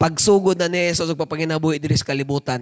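A man speaks with an animated tone. His pace is fairly quick. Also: dry, close sound with no echo. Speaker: preacher. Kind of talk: sermon with prayer, preaching in Cebuano mixed with English. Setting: church with congregation. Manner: fervent, animated preaching, switching between Cebuano and English; exhorting the congregation, asking them to respond.

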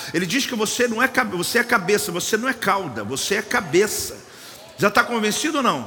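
A raised, projected voice with lively intonation at a fairly quick pace, over noticeable background noise. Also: man, high pitch for a man. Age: 50s. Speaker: pastor. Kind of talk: sermon. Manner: animated.

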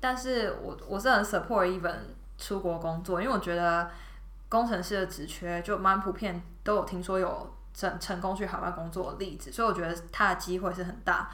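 A woman's medium-pitched voice at a moderate pace, with ordinary pitch variation, audible room echo, and noticeable background noise. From Taiwan. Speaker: product manager. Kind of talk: casual chat. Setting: studio.

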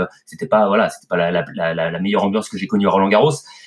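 A man talks with ordinary pitch variation. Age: 40s. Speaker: tennis commentator. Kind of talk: casual chat.

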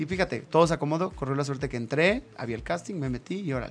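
Talking very fast, a man with a fairly high voice shows lively intonation and vocal fry. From northern Mexico. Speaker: actor and radio host. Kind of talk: casual chat.

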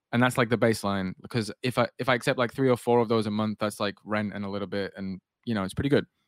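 Speaking very fast with hardly any pauses, a man with a northern English accent holds a fairly low pitch and fairly even intonation on a very clean recording with a silent background. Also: dry, close sound with no echo. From northwest England. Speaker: podcast host and designer. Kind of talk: casual interview chat.

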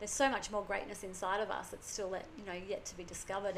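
A woman with an Australian accent and a medium pitch. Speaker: podcast host. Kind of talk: casual conversation.

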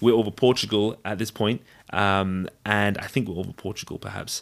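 In a very clean recording with a silent background, a man speaks with a southern English accent at a fairly low pitch. He keeps a fairly quick pace and fairly even intonation. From England (London, then Devon). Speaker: physician. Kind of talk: casual interview. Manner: halting.

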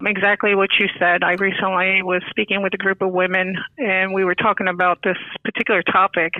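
A woman's flat, monotone voice at a fairly quick pace and very even loudness, with noticeable background noise. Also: medium pitch for a woman. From New York. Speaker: financial services manager and volunteer. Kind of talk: podcast interview.

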